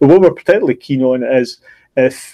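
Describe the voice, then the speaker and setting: Speaking fairly quickly with a Scottish accent, a man uses a fairly high pitch and ordinary pitch variation. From Scotland. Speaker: online course educator. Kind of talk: live stream discussion. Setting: video live stream. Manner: halting, many repetitions.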